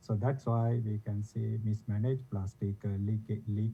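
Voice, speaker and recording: Soft-spoken and fairly low-pitched, a man talks at a moderate pace in a monotone, flat intonation. Music plays in the background. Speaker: environmental researcher. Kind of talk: panel discussion. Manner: halting. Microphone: too quiet.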